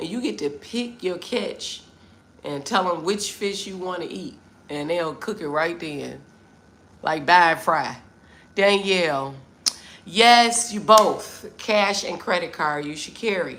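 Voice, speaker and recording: In a room with audible echo, a woman of medium pitch speaks at a fairly slow pace in an animated tone. Her intonation is lively, with big swings in loudness. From US Midwest, Detroit, Michigan. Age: 50s. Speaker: travel vlogger. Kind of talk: live stream chat with viewers.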